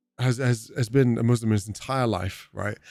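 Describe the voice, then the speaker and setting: A medium-pitched man with a British accent in a very clean recording with a silent background. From UK. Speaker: gaming streamer. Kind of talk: livestream gameplay chat.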